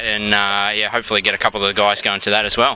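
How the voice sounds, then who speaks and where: Over noticeable background noise, a man with an Australian accent talks at a very fast pace in a fairly low voice. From Australia, Melbourne. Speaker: amateur football club president. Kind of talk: interview. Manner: hesitant, many fillers.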